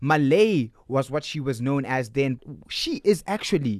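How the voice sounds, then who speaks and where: A man with an ordinary speaking voice delivers his words fairly slowly, his intonation lively. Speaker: radio host. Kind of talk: radio interview.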